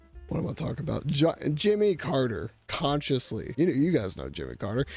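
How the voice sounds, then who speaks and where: A man speaks at a fairly quick pace, his pitch fairly high. Music plays in the background. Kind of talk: casual comedic commentary to camera. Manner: irreverent, joking.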